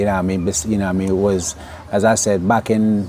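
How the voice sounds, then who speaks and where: Noticeable background noise sits behind the speech. The speaker is a man with a fairly low pitch. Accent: American. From Jamaica, Clarendon. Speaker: interviewee. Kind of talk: interview. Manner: halting.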